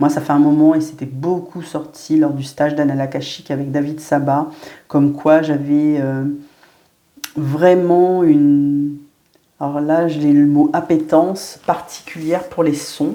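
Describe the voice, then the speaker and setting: Very slowly and in a monotone, flat way, a woman speaks with a very deep, low pitch. Room echo is audible around her. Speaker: medium and spiritual guide. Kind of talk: spiritual guidance monologue. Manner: hesitant, many fillers.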